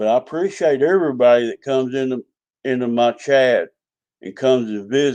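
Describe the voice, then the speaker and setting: The man talks at a fairly slow pace. His tone is dark and mellow. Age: 60s. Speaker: RC hobby YouTuber. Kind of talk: live stream chat. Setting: live stream.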